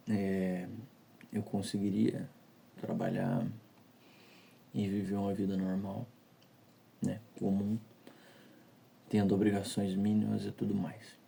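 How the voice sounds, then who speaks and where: Quiet and very slow, a man with a fairly low pitch and a dark, mellow tone speaks in a flat monotone with long, frequent pauses. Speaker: vlogger. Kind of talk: personal confessional monologue. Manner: speaking quietly; halting, repeats words. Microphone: audio quality may be poor.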